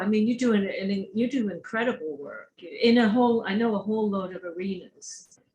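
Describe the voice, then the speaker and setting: This woman speaks at a moderate pace with a medium pitch. Her voice is somewhat breathy. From England. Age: 60s. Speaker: online talk show host. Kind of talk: interview.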